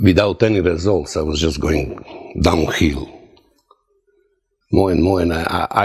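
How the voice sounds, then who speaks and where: Very deep and low in pitch, a man speaks with a Croatian accent and ordinary pitch variation. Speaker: testimonial giver, former sailor. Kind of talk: testimony. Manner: halting.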